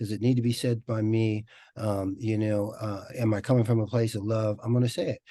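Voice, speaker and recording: At a fairly quick pace, a man with a dark, mellow tone and medium pitch speaks in a flat monotone over a quiet background. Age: 60s. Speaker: network marketing leader and author. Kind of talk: group video call discussion. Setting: video call.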